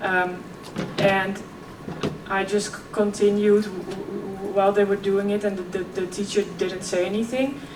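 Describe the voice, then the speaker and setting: A woman talks at a moderate pace in a flat monotone at medium pitch, with audible room echo and noticeable background noise. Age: 20s. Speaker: keynote speaker. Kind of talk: keynote speech. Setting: stage with audience.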